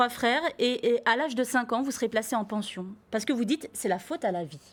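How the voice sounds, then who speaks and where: A woman talks at a fairly quick pace with high pitch and lively intonation. The recording is very clean, with a silent background. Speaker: TV interview host. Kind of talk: TV talk show host introduction.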